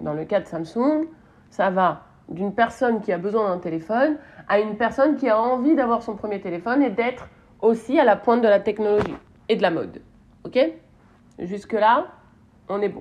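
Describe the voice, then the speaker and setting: Pausing long and often, a woman with a fairly high pitch speaks with lively intonation. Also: moderate pace. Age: 30s. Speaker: marketing podcast host. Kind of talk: solo podcast commentary. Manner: casual, hesitant with fillers.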